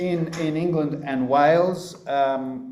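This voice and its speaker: A man speaks with an Australian accent and a fairly high pitch. His tone is dark and mellow, with ordinary pitch variation. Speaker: political speaker. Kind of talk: conference talk.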